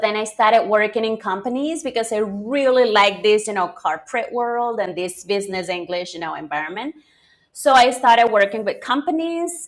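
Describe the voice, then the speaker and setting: A woman with a Spanish accent talks at a moderate pace, her fairly high voice rising and falling in lively intonation. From Venezuela. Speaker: English teacher. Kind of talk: interview. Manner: hesitant, many fillers.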